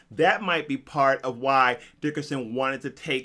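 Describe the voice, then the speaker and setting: Animated and bright, sharp in tone, a man speaks at medium pitch with ordinary variation and a moderate pace in a very clean recording with a silent background. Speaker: YouTube movie commentator. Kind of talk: casual video commentary. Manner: conversational, animated.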